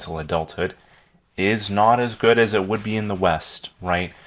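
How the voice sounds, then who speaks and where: With fairly even intonation, the man delivers his words at a moderate pace. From South Africa. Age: 20s. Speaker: YouTube educator. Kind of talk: educational talk. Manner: casual, conversational.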